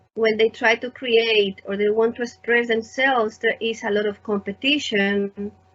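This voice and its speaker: With a Spanish accent, a woman talks at a moderate pace in a fairly high voice with fairly even intonation. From Spain. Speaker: artist and teacher, interviewer. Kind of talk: conversational interview.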